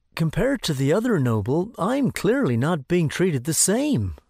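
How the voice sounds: A cartoonish character voice with vocal fry, a slightly husky edge and a slightly mellow tone moves at a fairly slow pace through big pitch swings in a very clean recording with a silent background.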